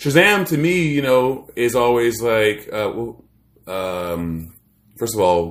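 A man speaks at a fairly slow pace with an American accent, lively intonation and a normal speaking voice. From Maryland, US. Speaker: podcast co-host. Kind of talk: casual chat.

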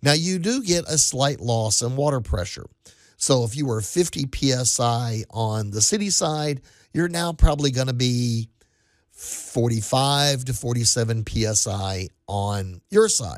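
A man speaks with an ordinary speaking voice at a medium pitch. His pace is fairly slow, his intonation lively, and the recording is very clean with a silent background. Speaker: radio host. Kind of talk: casual chat. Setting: studio.

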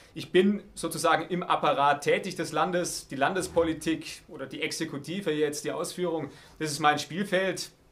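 There are big swings in loudness as a man with a fairly high pitch speaks at a moderate pace with fairly even intonation. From Baden-Württemberg, Heidenheim district (Swabia). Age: 30s. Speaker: politician, state parliament candidate. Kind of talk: interview. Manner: hesitant, with filler sounds.

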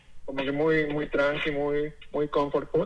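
A man talks at a moderate pace as noticeable background noise fills the recording. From Mexico, Tlaxcala. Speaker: chef. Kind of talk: interview. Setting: phone call. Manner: halting.

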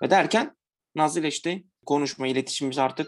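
An ordinary speaking voice moves at a fairly quick pace. Its pitch variation is ordinary. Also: man. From Diyarbakır, Turkey (Kurdish). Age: 20s. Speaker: accountant, vegan platform co-founder. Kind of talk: casual interview.

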